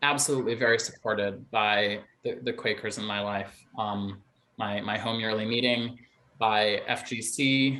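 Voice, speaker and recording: Fairly even intonation at a moderate pace, in an American accent. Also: man, medium pitch for a man. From rural Wisconsin. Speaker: drag performer. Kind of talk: Q&A discussion. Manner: halting.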